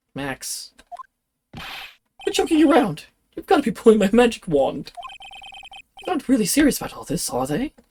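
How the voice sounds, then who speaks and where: The speaker uses a put-on character voice at a fairly high pitch, with very wide pitch swings. The pace is moderate, broken by long, frequent pauses. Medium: game stream.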